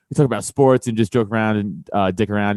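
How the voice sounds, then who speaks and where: A man with a New York accent. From New York City, Staten Island (South Shore). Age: 30s. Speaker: stand-up comedian. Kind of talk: casual chat.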